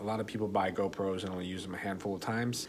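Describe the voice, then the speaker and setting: Soft-spoken and monotone, the voice has flat intonation and audible room echo. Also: man. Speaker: motovlogger. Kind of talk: tutorial. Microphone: voice recording kind of quiet.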